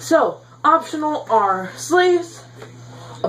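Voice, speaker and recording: Amid noticeable background noise, a woman speaks very slowly in a high pitch that swings very widely. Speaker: YouTuber teaching card game deck building. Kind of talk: casual tutorial vlog. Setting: home bedroom. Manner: animated.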